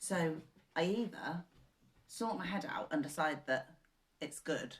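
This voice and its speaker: A woman's somewhat breathy, fairly low voice with a southern English accent, lively intonation and a fairly slow pace. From southern England. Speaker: co-host. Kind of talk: casual chat.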